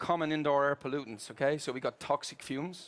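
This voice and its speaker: A man speaks with an Irish accent. His pitch is fairly high and his intonation fairly even. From Ireland. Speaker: corporate procurement executive. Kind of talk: keynote presentation. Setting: stage with audience at trade fair. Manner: hesitant with filler words.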